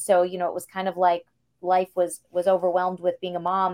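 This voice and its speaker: An unremarkable speaking voice moves at a fairly quick pace. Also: woman. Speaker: singer and actress. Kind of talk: casual interview chat. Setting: video call.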